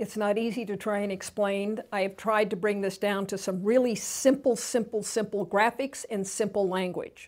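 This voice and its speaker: With an unremarkable speaking voice pitched fairly high, a woman talks at a moderate pace on a very clean recording with a silent background. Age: 60s. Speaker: TV host. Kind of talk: educational talk.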